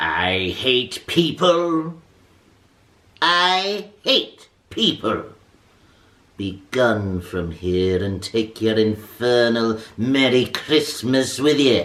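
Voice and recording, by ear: Putting on a character voice, a man speaks very slowly at medium pitch with very wide pitch swings and long, frequent pauses.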